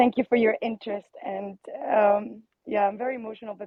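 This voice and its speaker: Big swings in loudness mark a woman's fairly high voice as she talks at a fairly quick pace with fairly even intonation. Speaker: guest sharing family story. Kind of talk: casual group chat. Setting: online audio room.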